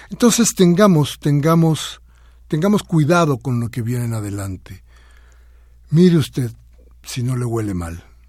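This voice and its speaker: A man with a fairly high pitch talks at a fairly slow pace in a somewhat breathy voice, with very wide pitch swings and long, frequent pauses. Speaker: radio host. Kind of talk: radio talk show commentary.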